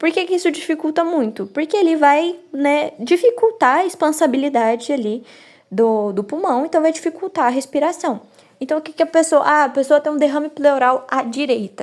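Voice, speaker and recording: This woman's high-pitched voice moves at a moderate pace with lively intonation. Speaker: medical student. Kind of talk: study review lecture. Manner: halting.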